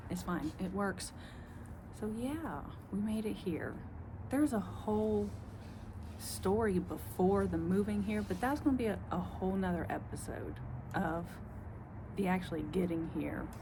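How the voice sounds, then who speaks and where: A woman speaks in a strong Southern US accent. Her speech has long, frequent pauses, and room echo is audible. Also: moderate pace. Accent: strong Southern country. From US South. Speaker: vlogger. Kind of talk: casual monologue. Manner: rambling, halting.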